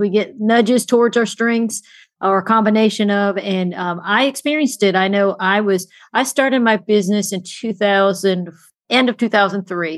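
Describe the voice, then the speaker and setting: A woman speaks at a fairly quick pace in an unremarkable speaking voice, her pitch medium and her intonation fairly even. The recording is very clean, with a silent background. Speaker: podcast host. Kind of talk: interview conversation.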